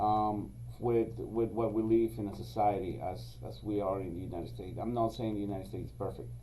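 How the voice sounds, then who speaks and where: A man speaks with a Spanish accent. Some room echo can be heard. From Venezuela, then Israel from age 16. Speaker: security company executive. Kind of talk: podcast interview. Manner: hesitant, many fillers.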